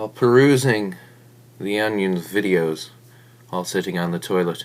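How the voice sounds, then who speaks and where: Ordinary pitch variation runs through this voice at a moderate pace. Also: man. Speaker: comedic narrator. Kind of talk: mock-epic comedic narration.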